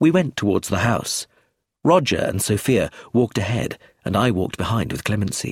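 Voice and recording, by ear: Someone is reading aloud in a natural voice with lively intonation against a quiet background.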